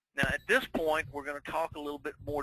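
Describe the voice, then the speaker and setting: A man talks in an American accent. His pitch is fairly high. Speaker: webinar presenter. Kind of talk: webinar presentation.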